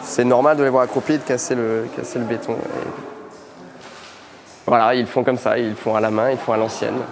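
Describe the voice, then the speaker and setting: Amid noticeable background noise and audible room echo, a man speaks at medium pitch in a monotone, flat intonation, with long, frequent pauses. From France. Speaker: interior architect. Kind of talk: interview on a work site. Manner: hesitant, with many fillers.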